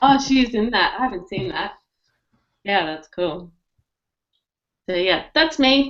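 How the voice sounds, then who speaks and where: A woman with a fairly high voice speaks in an animated tone, her pitch swinging very widely, with long, frequent pauses. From Australia. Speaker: digital marketing strategist. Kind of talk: casual panel chat.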